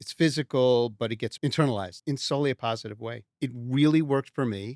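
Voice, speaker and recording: A man with an American accent speaks at a fairly quick pace, his medium pitch moving with ordinary variation. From New York (Westchester). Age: 60s. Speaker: customer giving a testimonial. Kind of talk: testimonial interview. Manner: casual, conversational with hesitations.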